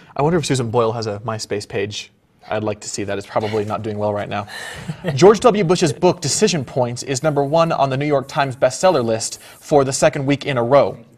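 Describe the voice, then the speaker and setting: A man's medium-pitched voice at a fairly quick pace, lively in intonation, with noticeable background noise. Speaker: improv comedian, news-parody anchor. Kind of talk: comedic mock news anchor banter.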